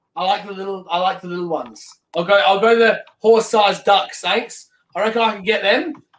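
A man's very fast speech in an Australian accent with ordinary pitch variation. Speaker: sim racing streamer. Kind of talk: casual interview.

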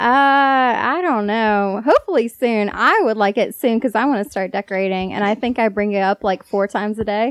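With a plain, everyday voice, a woman talks at a fairly quick pace with hardly any pauses, her fairly high pitch showing ordinary variation, in a dry, close sound with no echo and a quiet background. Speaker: girlfriend guest. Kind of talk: casual interview chat.

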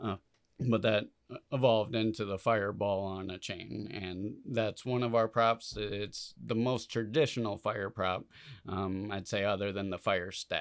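In an unremarkable speaking voice, a man with a fairly low pitch talks at a fairly slow pace with fairly even intonation. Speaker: fire dancer. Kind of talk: casual interview chat.

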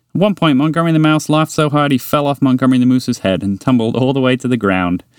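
The text is read in a natural voice.

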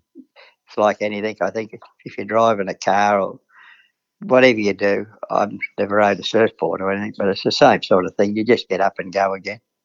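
A man with an Australian accent talks fairly quickly in a fairly low, flat monotone, his loudness swinging widely. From Queensland, Australia. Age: 70s. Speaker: retired jockey. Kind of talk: interview. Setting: phone call.

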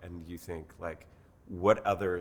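This man's voice is very deep and low in pitch. He speaks at a fairly slow pace with ordinary pitch variation. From Mexico City, Mexico. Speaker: brand consultant and executive coach. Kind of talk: casual interview.

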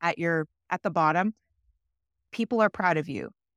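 In a dry, close recording with no echo and a silent background, a woman with a normal speaking voice talks at a fairly quick pace, her medium pitch showing ordinary variation. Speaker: podcast co-host. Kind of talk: casual chat.

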